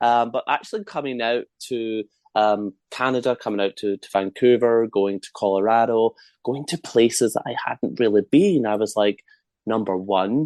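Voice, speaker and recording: In a dry, close recording with no echo and a quiet background, a man with a Scottish accent speaks at medium pitch with fairly even intonation. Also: moderate pace. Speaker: medium and author. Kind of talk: casual interview chat.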